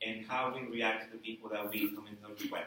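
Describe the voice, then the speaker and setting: A man's medium-pitched voice with a non-native accent, amid audible room echo and noticeable background noise. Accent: foreign. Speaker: college instructor. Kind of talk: speech. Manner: hesitant, with fillers.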